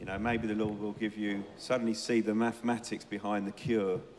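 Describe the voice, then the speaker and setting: A man speaks at a medium pitch. Noticeable background noise sits behind his voice. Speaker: church leader interviewing members. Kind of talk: church interview.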